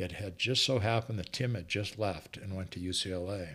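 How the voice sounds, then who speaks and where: Here is an unremarkable speaking voice from a man with an American accent. His pitch is fairly low, his pace fairly quick, and his pitch variation ordinary. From Montana. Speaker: retired football coach. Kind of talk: casual interview chat.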